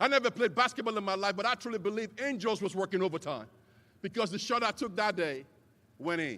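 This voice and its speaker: A man with a Nigerian accent speaks very fast in a high, raised, projected voice with a bright, sharp, animated tone. Long, frequent pauses break up his delivery, which has ordinary pitch variation. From Nigeria, Lagos. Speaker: commencement speaker. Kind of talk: commencement speech.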